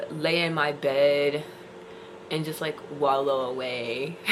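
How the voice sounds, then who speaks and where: A woman talks very slowly in a very deep, low pitch with ordinary pitch variation. Noticeable background noise and audible room echo fill the recording. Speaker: independent musician and vlogger. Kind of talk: casual vlog monologue.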